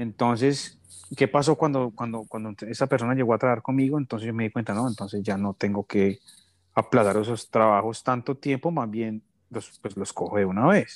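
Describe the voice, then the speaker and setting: Recorded very cleanly against a silent background, with a dry, close sound and no echo, a man with an Antioquian accent speaks with ordinary pitch variation. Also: medium pitch for a man, moderate pace. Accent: Colombian paisa Spanish. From Colombia, Medellín (paisa). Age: 30s. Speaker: entrepreneur. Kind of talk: interview. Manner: halting, repeats words.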